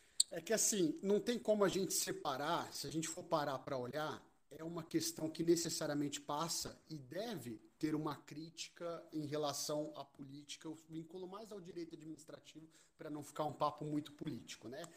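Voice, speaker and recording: A man with a normal speaking voice talks at a moderate pace with hardly any pauses. His pitch is fairly high with ordinary variation, and his loudness swings widely. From São Paulo state, Brazil. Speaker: criminology professor, participant. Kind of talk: casual discussion.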